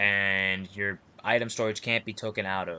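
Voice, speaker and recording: A man with a very deep, low pitch speaks in a bright, sharp tone with monotone, flat intonation. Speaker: gaming YouTuber. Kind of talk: game tutorial. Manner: fast; casual.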